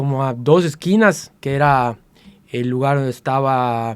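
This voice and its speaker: A man's voice with ordinary pitch variation. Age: 60s. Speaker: martial artist. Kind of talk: interview storytelling. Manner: halting, many fillers.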